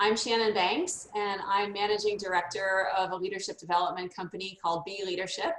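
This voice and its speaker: Speaking at a moderate pace with fairly even intonation, a woman with an American accent has an unremarkable speaking voice at a medium pitch. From United States. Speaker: leadership development consultant. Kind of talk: casual chat.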